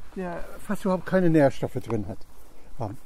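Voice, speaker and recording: A man with a high voice talks at a moderate pace, his pitch swinging very widely. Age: 80s+. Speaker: permaculture gardener demonstrating his compost toilet. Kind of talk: casual explanatory interview on garden tour. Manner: halting, many fillers.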